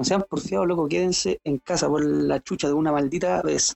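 With a Chilean accent, a man talks at a moderate pace in a fairly high pitch, his intonation lively. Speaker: podcast co-host. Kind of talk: casual chat.

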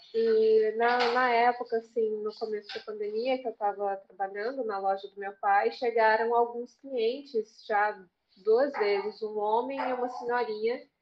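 A woman with a fairly high voice talks fairly slowly in a flat monotone, with hardly any pauses. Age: 20s. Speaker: English tutor and language student. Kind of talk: casual chat.

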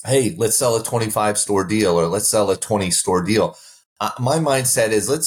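Somewhat breathy and fairly low in pitch, a man speaks at a moderate pace on a very clean recording with a silent background. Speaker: restaurant franchise executive. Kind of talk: interview.

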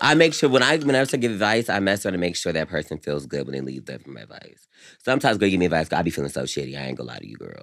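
Very fast and animated, a man with a very deep, low voice and vocal fry speaks with very wide pitch swings and big swings in loudness. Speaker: podcast co-host. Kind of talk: casual banter between friends. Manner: sassy, animated.

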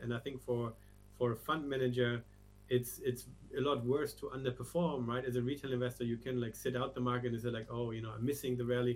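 A man with a German accent speaks at a very fast pace in a monotone, flat delivery. Music plays in the background. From Germany. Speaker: crypto research strategist. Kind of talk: interview.

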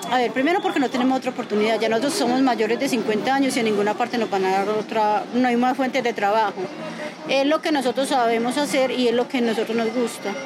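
A woman at a high pitch and very fast pace, with ordinary pitch variation, very even loudness, and crowd noise in the background. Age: 50s. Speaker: farmer. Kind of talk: interview.

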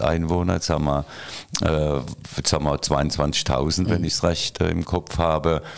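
Very deep and low, a man's voice carries vocal fry. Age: 60s. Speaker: retired mayor. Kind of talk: casual interview.

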